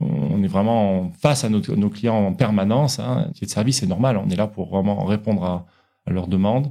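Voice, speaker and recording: A man speaks at a moderate pace in a fairly low, dark and mellow voice with lively intonation. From France, French Cerdagne (Pyrenees). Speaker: wealth management adviser. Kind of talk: interview. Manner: hesitant, many fillers.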